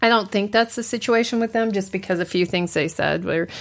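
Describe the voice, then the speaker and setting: On a very clean recording with a silent background, a woman uses an ordinary speaking voice at a medium pitch with ordinary pitch variation. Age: 40s. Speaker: blogger. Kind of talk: casual chat.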